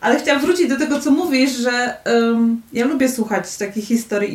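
Her high-pitched voice moves at a moderate pace as the woman shows ordinary pitch variation. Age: 30s. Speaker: university lecturer. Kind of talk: casual chat. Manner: halting.

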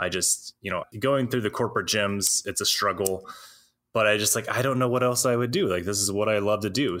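A man with an American accent speaks at a fairly quick pace and a fairly low pitch, with a bright, sharp tone. His intonation is fairly even, and the recording is very clean with a silent background. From US South, Alabama. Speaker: personal trainer and nutrition practitioner. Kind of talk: interview conversation.

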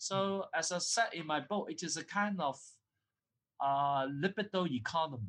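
A man with a Cantonese accent talks at a moderate pace, his high pitch showing ordinary variation. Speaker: academic author and lecturer. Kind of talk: interview. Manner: halting. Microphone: poor recording quality.

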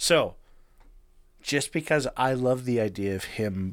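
A man speaks at a medium pitch. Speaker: podcast co-host. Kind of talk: casual chat. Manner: casual, profane.

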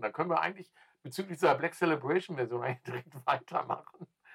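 Very fast and fairly high-pitched, the man's bright, sharp voice comes across dry and close, with no echo. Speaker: music podcast co-host. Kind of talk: casual chat. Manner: halting, repetitive starts.

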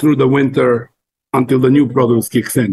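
Somewhat breathy and fairly slow, a man talks at a medium pitch with monotone, flat intonation. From Montenegro. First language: Montenegrin. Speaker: cook. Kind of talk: casual chat.

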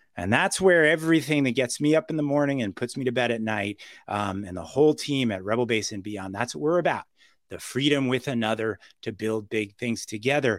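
Against a silent background in a very clean recording, a man with a medium pitch talks at a fairly quick pace in an animated tone with lively intonation. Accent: New York. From New York City. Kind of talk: podcast interview.

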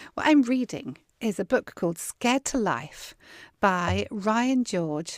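On a very clean recording with a silent background, a woman in a Southern English accent speaks very slowly with very wide pitch swings. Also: dry, close sound with no echo. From southern England. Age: 50s. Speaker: podcast host and worship singer. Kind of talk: casual interview chat.

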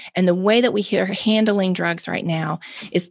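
A woman with a Mississippi accent, fairly low pitch, ordinary pitch variation and a dry, close sound with no echo. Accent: Southern US (Mississippi). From Mississippi, US South. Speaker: nonprofit founder and drug policy advocate. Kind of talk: interview conversation.

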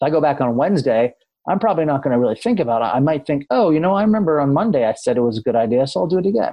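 With an American accent, a man speaks at a very fast pace in a fairly high pitch. His pitch swings very widely while his loudness stays very even. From US New England, Amherst, Massachusetts. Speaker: comedian and behavioral economics author. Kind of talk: interview conversation. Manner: hesitant, filler-heavy.

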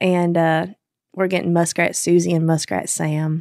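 A woman speaks with a Kentucky accent. Her pace is moderate. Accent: Southern US (Kentucky). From Kentucky, small town. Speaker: country singer. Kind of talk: casual interview chat.

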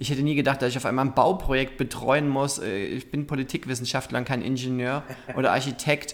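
A man talks at a fairly quick pace with medium pitch and fairly even intonation. Noticeable background noise is present. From Saxony, Germany (Zwickau). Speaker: LGBT association director and activist. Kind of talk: interview.

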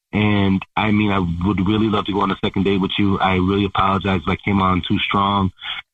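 A man talks at a very fast pace in a fairly low, monotone voice with flat intonation. His loudness stays very even. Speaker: date caller. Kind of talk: casual phone chat. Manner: hesitant, filler-heavy.

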